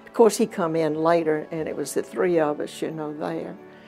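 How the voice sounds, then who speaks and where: A woman's voice with music in the background. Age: 80s+. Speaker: patient. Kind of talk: interview answer. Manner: lively, vivacious.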